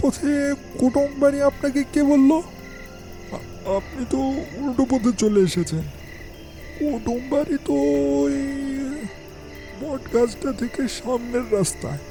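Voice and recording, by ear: This is a cartoonish character voice. Clear music is heard in the background.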